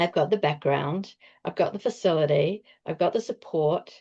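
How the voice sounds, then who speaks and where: At a moderate pace, a woman speaks with ordinary pitch variation over a quiet background. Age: 60s. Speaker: nutritionist and masters powerlifter. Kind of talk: interview.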